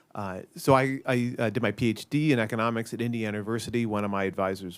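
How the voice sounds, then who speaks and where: Music runs in the background as a man with an American accent speaks at a fairly quick pace. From US Midwest (downstate Illinois, near Peoria). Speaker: economist, policy analyst. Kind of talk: panel discussion. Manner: halting, many fillers.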